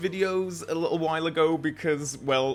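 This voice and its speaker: A man with a northern English accent. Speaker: film reviewer. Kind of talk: casual talk to camera.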